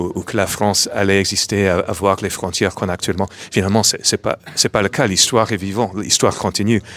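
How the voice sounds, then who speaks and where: With an English accent, a man speaks at a fairly low pitch in a monotone, flat intonation. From New York, US. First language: English (speaking French). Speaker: comic book writer. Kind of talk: interview. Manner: halting.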